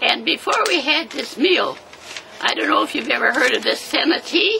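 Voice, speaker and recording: At a moderate pace, a woman talks while noticeable background noise runs underneath. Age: 80s+. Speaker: centenarian interviewee. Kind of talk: casual chat. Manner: halting.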